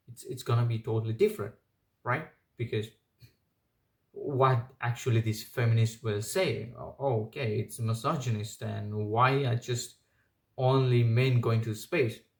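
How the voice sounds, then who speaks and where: A man with a non-native accent talks at a fairly slow pace and a medium pitch. His voice is somewhat breathy, with long, frequent pauses. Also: fairly even intonation. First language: not English. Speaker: commentary video creator. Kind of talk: opinion monologue. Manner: halting, many fillers.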